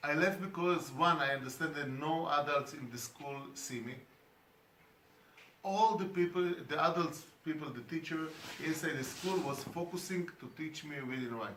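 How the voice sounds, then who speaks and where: Over noticeable background noise and audible room echo, a man with a Hebrew accent and a fairly high pitch speaks at a moderate pace, with ordinary pitch variation and big swings in loudness. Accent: non-native English, Hebrew speaker. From Israel. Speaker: education speaker. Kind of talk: conference talk. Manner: halting.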